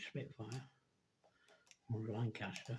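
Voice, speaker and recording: This speaker has a dark, mellow tone and a somewhat breathy quality, with an English accent and a monotone, flat intonation. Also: man. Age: 70s. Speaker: scale model builder. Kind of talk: casual chat. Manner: rambling, self-correcting.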